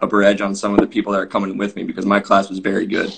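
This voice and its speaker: A man speaks with an American accent. His pitch is fairly low. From US Midwest, Champaign, Illinois. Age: 20s. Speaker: professional soccer player. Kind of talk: casual podcast interview.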